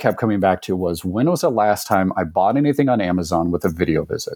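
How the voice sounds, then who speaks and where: A man's fairly low-pitched, ordinary speaking voice, with ordinary pitch variation. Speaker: telehealth company executive. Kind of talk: interview discussion.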